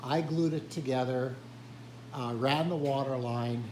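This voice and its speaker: A man speaks at medium pitch and a fairly slow pace, his intonation fairly even. Audible room echo surrounds the voice. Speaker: hobby woodworker and retired teacher. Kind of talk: tutorial. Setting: workshop. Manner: hesitant, filler words.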